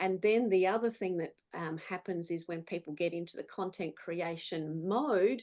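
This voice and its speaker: In an Australian accent, a woman talks at a moderate pace with a medium pitch and ordinary pitch variation. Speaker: business speaker. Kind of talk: presentation.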